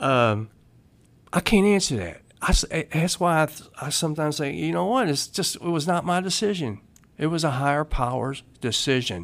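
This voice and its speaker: Lively in intonation, a man with an American accent speaks at a moderate pace and a fairly high pitch. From Louisville, Kentucky. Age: 50s. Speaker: person in addiction recovery. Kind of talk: recovery story testimony.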